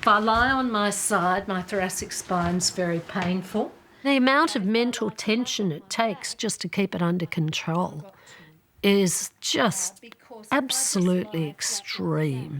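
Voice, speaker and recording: A woman's medium-pitched voice in an Australian accent, with lively intonation and a fairly slow pace. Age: 60s. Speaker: chronic pain patient and doctor. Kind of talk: interview testimony.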